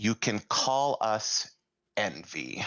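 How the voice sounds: In a booming, put-on character voice, a man speaks at a fairly low pitch.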